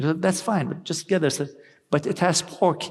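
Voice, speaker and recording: Recorded very cleanly against a silent background, a man with an Arabic accent speaks at a moderate pace with lively intonation. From Lebanon and Iraq. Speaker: policy research fellow. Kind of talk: panel discussion. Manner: halting.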